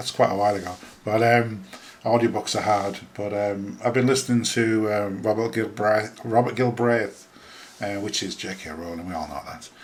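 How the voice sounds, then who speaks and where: At a moderate pace, the voice keeps fairly even intonation but shows big swings in loudness against noticeable background noise. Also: man, fairly low pitch for a man. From northern England, Huddersfield (Yorkshire). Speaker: podcaster. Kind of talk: casual solo podcast monologue. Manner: hesitant, many fillers (um, uh) and repetitions.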